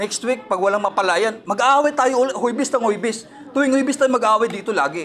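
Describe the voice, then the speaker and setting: A man's extremely high, loud voice at a very fast pace, with noticeable background noise. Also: ordinary pitch variation. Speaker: claimant complaining at an office. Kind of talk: heated argument.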